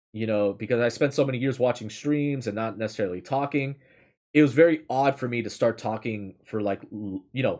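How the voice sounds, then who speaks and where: An ordinary speaking voice with fairly even intonation moves at a moderate pace on a very clean recording with a silent background. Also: man. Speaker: streamer reading stories aloud. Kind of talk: casual chat. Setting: live stream. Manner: casual, with many filler words.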